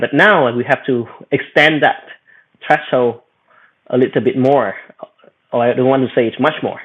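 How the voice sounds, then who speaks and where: This man speaks with a Vietnamese accent. His pitch sits in the medium range. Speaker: AI executive and researcher. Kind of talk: panel discussion. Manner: halting.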